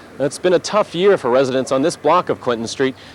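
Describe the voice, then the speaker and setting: A man's fairly high voice, very fast and with lively intonation, over noticeable background noise. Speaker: TV news reporter. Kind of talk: TV news report.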